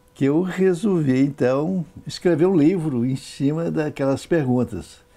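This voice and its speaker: Speaking fairly slowly, a man uses a fairly high pitch, a dark, mellow tone and lively intonation. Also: big swings in loudness. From Brazil, Minas Gerais (Governador Valadares). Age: 70s. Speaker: author and former local politician. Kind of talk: interview.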